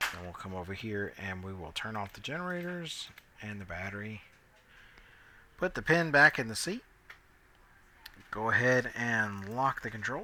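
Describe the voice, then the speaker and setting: The voice has a bright, sharp tone, very wide pitch swings and big swings in loudness, moving at a moderate pace broken by long, frequent pauses. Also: man, medium pitch for a man. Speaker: flight sim video creator. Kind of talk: tutorial. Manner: casual, hesitant fillers.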